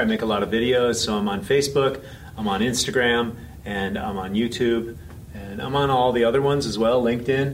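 The man talks at a medium pitch with an American accent. There is audible room echo. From US, San Francisco. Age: 50s. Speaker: health coach and speaker. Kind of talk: interview. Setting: conference venue.

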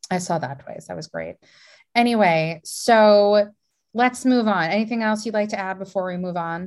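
An ordinary speaking voice at a moderate pace, with ordinary pitch variation and big swings in loudness over a quiet background. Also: woman, medium pitch for a woman. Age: 20s. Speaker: podcast host. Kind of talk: casual chat.

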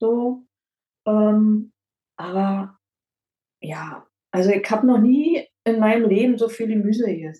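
A woman speaks very slowly with long, frequent pauses in a dark, mellow, somewhat breathy tone. Her pitch is fairly high with ordinary variation. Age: 50s. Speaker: dental prophylaxis assistant, weight-loss client. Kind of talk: interview testimony. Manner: hesitant, many fillers.

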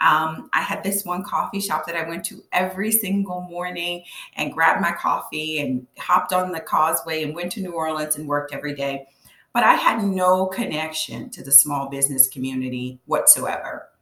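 Bright and sharp in tone, a woman's fairly low voice moves at a moderate pace with ordinary pitch variation and big swings in loudness. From Louisiana, Cajun. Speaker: business coach. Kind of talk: interview. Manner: halting with fillers.

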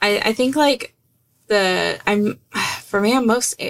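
The speaker is a woman with a mid-range pitch. She talks in an American accent. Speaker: podcast co-host. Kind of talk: casual chat.

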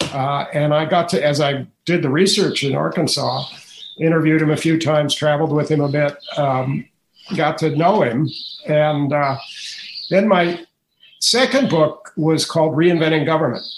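A man with an unremarkable speaking voice talks at a moderate pace, his pitch fairly high and his pitch variation ordinary. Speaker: author and education policy writer. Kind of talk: interview.

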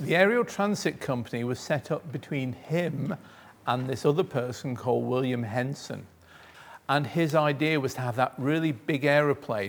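A man's fairly high, a plain, everyday voice, with ordinary pitch variation at a moderate pace, on a very clean recording with a silent background. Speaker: museum volunteer. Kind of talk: presentation to schoolchildren. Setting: museum, with children. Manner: engaging, quizzing the children.

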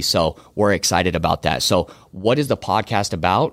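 A man with a General American accent in a very clean recording with a silent background. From Arizona. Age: 20s. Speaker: podcast host and entrepreneur. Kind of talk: podcast introduction, promotional.

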